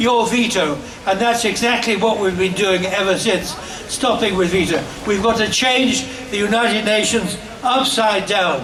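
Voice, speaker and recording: A man's high voice at a moderate pace, with ordinary pitch variation and very even loudness, over noticeable background noise. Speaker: peace campaigner. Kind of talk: rally speech. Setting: outdoors. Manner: energetic.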